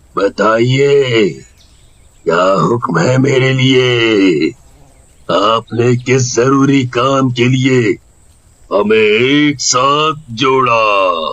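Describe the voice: In a cartoonish character voice, a man of medium pitch speaks at a very slow pace.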